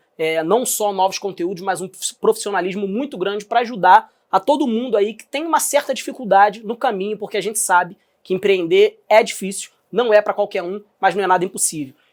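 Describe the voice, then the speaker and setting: Using a Rio de Janeiro accent, a man speaks at a high pitch and a moderate pace with ordinary pitch variation. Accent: carioca accent noticeable. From Brazil, Rio de Janeiro. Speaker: podcast host, entrepreneur. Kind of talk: podcast interview. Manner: casual, conversational.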